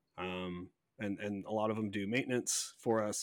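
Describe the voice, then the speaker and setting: An ordinary speaking voice at a moderate pace with fairly even intonation, dry and close with no echo, in a very clean recording with a silent background. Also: man. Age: 30s. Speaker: real estate investor. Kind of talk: interview.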